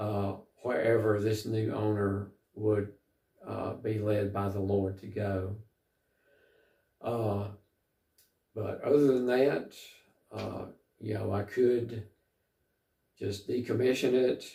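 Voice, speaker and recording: A man with a Southern US accent speaks very slowly, with long, frequent pauses and fairly even intonation. His voice is somewhat breathy, fairly low in pitch, and dark and mellow in tone. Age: 60s. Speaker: travel vlogger. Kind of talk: casual vlog monologue. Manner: halting, many fillers.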